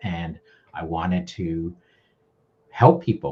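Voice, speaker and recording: With ordinary pitch variation, a man talks in a very deep, low voice. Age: 60s. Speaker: video marketing educator. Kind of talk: casual interview.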